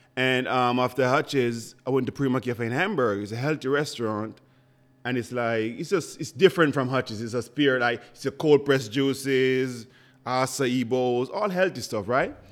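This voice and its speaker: A man with a Jamaican accent talks at a moderate pace in a medium-pitched voice with ordinary pitch variation, recorded very cleanly against a silent background. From rural Jamaica. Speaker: chef and restaurant owner. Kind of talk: casual interview. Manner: animated.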